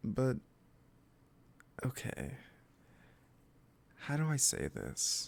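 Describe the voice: A man puts on a character voice with vocal fry and very wide pitch swings. He speaks at a very slow pace. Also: medium pitch for a man.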